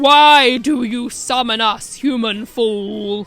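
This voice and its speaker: Faint music lies in the background. The put-on character voice drags along at a very slow pace. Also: woman, high pitch for a woman. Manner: menacing, nefarious.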